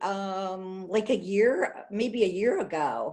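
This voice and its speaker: Her pitch varying in an ordinary way, a woman speaks at a very slow pace. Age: 70s. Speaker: patient sharing her experience. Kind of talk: interview. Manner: hesitant, many fillers.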